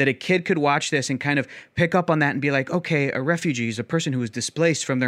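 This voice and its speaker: A man with an American accent has an unremarkable speaking voice, fairly high in pitch with ordinary pitch variation. The sound is dry and close with no echo, over a quiet background. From US South. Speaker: writer and podcast host. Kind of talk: friendly debate.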